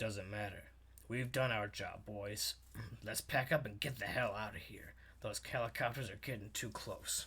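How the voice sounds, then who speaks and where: A man puts on a character voice. It is raspy and sits at a medium pitch. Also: moderate pace. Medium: read story. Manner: terse, whispering.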